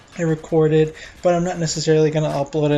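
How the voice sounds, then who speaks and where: Mumbling at a very fast pace, a man speaks in a monotone, flat intonation at a fairly high pitch with a dark, mellow tone. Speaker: gaming YouTuber. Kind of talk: casual gameplay commentary. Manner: flat, tired-sounding.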